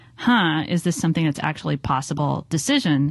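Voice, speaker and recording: With a Californian accent, a woman of fairly low pitch talks at a moderate pace in a quiet setting. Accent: General American (Californian). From US, Southern California (Los Angeles). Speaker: design strategist and author. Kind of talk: interview conversation.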